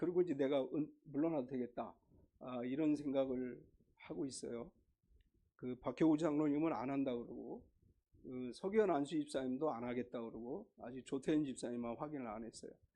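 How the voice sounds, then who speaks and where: The voice has a dark, mellow tone and moves at a moderate pace. Its loudness swings widely while pitch varies in an ordinary way. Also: man, medium pitch for a man. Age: 60s. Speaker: pastor. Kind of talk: sermon. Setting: church. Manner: casual, conversational.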